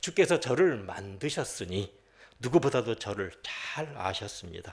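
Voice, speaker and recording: A somewhat breathy man talks at a fairly slow pace. The recording is very clean, with a silent background. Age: 60s. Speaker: pastor, former prosecutor. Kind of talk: sermon with personal testimony. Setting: worship service.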